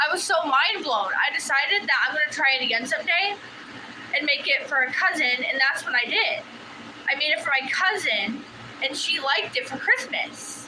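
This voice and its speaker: High in pitch, a woman's raised, projected voice swings very widely. Audible room echo and noticeable background noise are in the recording. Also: moderate pace. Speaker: livestreamer crafting hobbyist. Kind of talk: casual live-stream chat. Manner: halting, with fillers.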